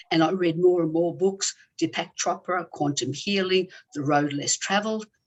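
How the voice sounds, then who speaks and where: In an Australian accent, a woman speaks in a fairly low voice. Her pace is moderate and her pitch varies normally. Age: 60s. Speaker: former squash champion and healer. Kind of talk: interview.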